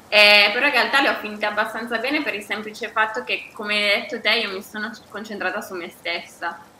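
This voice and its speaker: A woman speaks at a very fast pace with fairly high pitch and fairly even intonation, over noticeable background noise. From Bergamo, northern Italy. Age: 40s. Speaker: yoga teacher and writer. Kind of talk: casual chat, podcast conversation. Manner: hesitant, repeats words.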